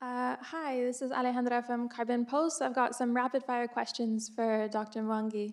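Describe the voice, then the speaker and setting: On a very clean recording with a silent background, a woman speaks fairly quickly in a fairly high pitch. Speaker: journalist. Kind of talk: audience question. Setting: conference audience with roving mic. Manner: fast.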